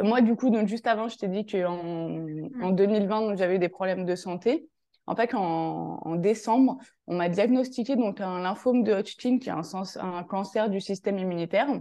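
Her tone is dark and mellow, at a medium pitch with ordinary variation. The woman talks at a moderate pace against a quiet background. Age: 20s. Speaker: life and career coach. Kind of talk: casual interview chat.

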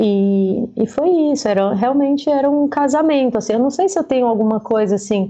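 The woman's voice has a dark, mellow tone and ordinary pitch variation. The background is quiet. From Brazil, Fortaleza, Ceará. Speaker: stage lighting designer. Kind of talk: interview.

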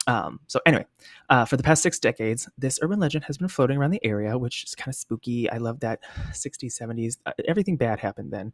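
Delivery is very fast, with lively intonation. The sound is dry and close, with no echo. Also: man, medium pitch for a man. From Washington State. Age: 30s. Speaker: podcast host. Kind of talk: casual storytelling monologue. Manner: animated.

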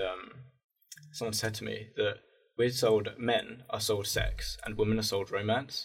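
Speaking at a moderate speed, a man uses a British accent. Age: 20s. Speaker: aspiring filmmaker. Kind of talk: casual chat.

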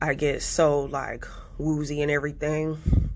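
A woman speaks at a very slow pace. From United States. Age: 20s. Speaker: podcast host. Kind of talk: casual monologue. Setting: office. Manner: quieter than usual, keeping voice down.

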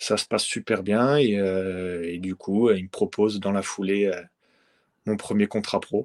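A man speaks slowly-ish in a normal speaking voice, fairly low in pitch with fairly even intonation. The sound is dry and close with no echo, over a quiet background. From France. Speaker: professional footballer. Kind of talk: interview.

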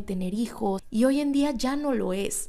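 Speaking at a fairly high pitch and a fairly slow pace, this woman has an unremarkable speaking voice. Her pitch variation is ordinary. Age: 20s. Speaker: podcast host. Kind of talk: casual monologue.

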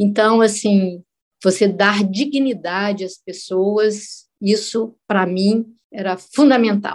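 A woman of medium pitch at a very slow pace. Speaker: civil engineer. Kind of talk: personal testimony.

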